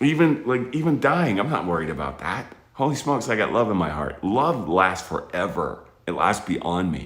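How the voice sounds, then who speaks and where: A man speaks with vocal fry and very wide pitch swings at a moderate pace. Room echo is audible. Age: 50s. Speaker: military veteran and space educator. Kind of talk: motivational talk to children. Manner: casual, conversational, with restarts.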